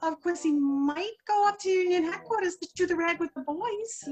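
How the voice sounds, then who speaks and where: A squeaky, put-on character voice from a woman, extremely high in pitch, at a moderate pace. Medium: stage play. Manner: folksy, slangy.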